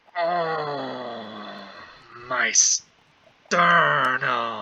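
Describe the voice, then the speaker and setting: A man puts on a character voice, raspy and guttural at a medium pitch. The sound sits strained in his throat. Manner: exaggerated, pained.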